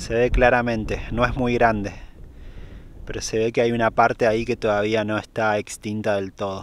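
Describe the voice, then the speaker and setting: In a dry sound with no echo, a man speaks at a moderate pace with monotone, flat intonation. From Argentina. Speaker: YouTuber travel vlogger. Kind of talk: vlog narration; interview. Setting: outdoors. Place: open country. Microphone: phone near.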